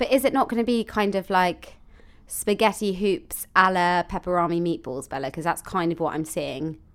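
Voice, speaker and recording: With a southern English accent, a woman talks at a moderate pace and medium pitch with ordinary pitch variation, on a very clean recording with a silent background. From London. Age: 20s. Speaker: podcast co-host. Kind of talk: casual chat.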